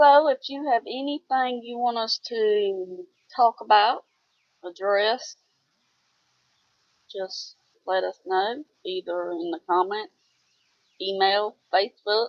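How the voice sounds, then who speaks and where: A woman speaks in a Southern US accent at a very slow pace. Her speech has long, frequent pauses. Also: fairly high pitch for a woman, ordinary pitch variation. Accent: Southern twang. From US South. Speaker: homesteader. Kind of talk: casual chat.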